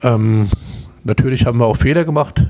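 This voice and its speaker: A man speaks in a Palatine accent. His tone is dark and mellow. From Palatinate, Germany (Kaiserslautern). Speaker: emergency physician. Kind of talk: interview.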